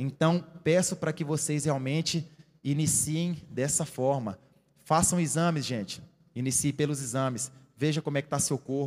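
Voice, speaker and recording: Someone with a normal speaking voice talks at a moderate pace with ordinary pitch variation. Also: man, fairly high pitch for a man. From Rio Maria, Pará, northern Brazil. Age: 30s. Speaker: sports physiotherapist, former footballer. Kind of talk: health talk at church workshop. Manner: informal, repetitive filler words.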